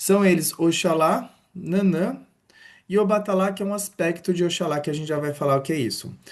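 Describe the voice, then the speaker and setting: Fairly quick and high-pitched, a man's voice has a warm tone and ordinary pitch variation. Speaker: religion teacher. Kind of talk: online lecture. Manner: casual, warm teaching tone.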